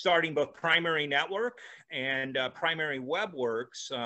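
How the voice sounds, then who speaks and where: Ordinary pitch variation marks the speech of this man with an American accent. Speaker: venture capitalist and entrepreneur. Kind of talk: casual interview. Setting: video call. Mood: relaxed, reflective storytelling. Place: home room. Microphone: video call.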